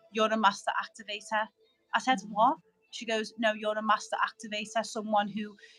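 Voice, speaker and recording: Music plays in the background as a woman with a fairly high pitch talks at a fairly quick pace. Her intonation is monotone and flat, while her loudness swings widely. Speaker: spiritual guest, light language speaker. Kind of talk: casual chat. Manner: stuttering, halting.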